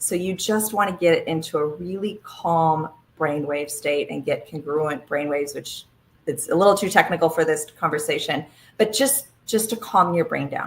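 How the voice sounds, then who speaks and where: A woman speaks at a moderate pace in a fairly low pitch with ordinary pitch variation. Her voice is somewhat breathy. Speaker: health webinar presenter. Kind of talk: live webinar presentation. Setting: live online broadcast. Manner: animated.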